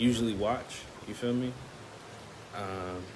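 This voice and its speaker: With an American accent and fairly even intonation, a man speaks at a fairly low pitch in a room with audible echo. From Chicago, US. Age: 20s. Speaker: vlogger. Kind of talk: casual vlog talk. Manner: hesitant, filler-heavy.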